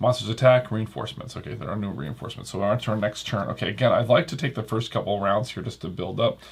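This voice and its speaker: With hardly any pauses, a man of medium pitch speaks at a very fast pace with ordinary pitch variation over noticeable background noise. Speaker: board game reviewer. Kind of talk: solo playthrough commentary. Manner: casual, relaxed.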